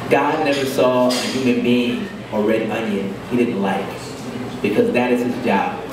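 A man at a moderate pace with ordinary pitch variation, noticeable background noise and audible room echo. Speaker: poet. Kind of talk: poetry reading. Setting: open mic at a cafe. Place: cafe.

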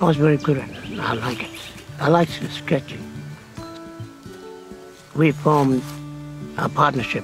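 A man with fairly even intonation and long, frequent pauses, dry sound with no echo, clear music in the background. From Tiwi Islands, Northern Territory, Australia. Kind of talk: interview answer. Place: open country.

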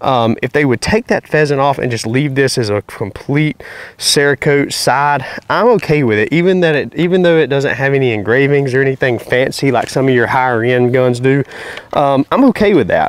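With a Southern US accent, a man talks at a fairly high pitch with ordinary pitch variation and very even loudness, the sound dry with no echo. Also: moderate pace. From North Carolina. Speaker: YouTube hunting and gun reviewer; gun reviewer. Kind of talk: product review. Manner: casual, conversational. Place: open country.

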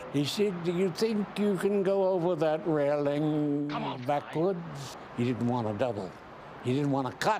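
Over noticeable background noise, a man with a fairly high pitch talks at a fairly slow pace, his loudness very even and his intonation lively. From New Jersey. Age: 80s+. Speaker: actor. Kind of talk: interview answer. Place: home room.

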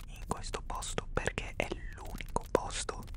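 Whispering and soft-spoken, a man talks at a very slow pace in a dry sound with no echo, with noticeable background noise. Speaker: ASMR storyteller. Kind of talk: soft-spoken roleplay storytelling. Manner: soft close-mic whisper. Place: home room. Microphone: studio mic.

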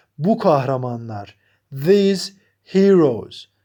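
Here a man speaks with high pitch and a dark, mellow tone. His pitch swings very widely. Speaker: English teacher. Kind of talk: tutorial.

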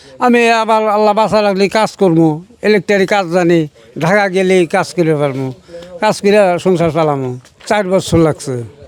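Very even loudness against noticeable background noise. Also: man, high pitch for a man, ordinary pitch variation. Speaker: father of a village inventor. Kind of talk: interview.

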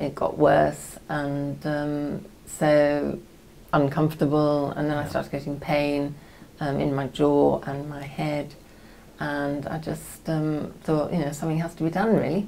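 A woman's very deep, low voice, flat and monotone, at a fairly slow pace with long, frequent pauses over light background noise. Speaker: patient. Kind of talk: medical consultation. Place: meeting room.

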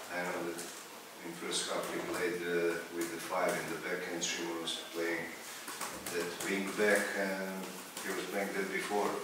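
Through strong room echo and noticeable background noise, a man talks at a very slow pace with long, frequent pauses. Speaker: football coach. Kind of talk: press conference. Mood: frustrated, critical of team. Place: meeting room.

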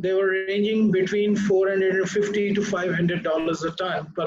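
A man speaks in a high pitch at a very slow pace. There is light background noise. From Pakistan. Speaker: ship recycling executive. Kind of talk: panel discussion. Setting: video call. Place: office. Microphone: video call.

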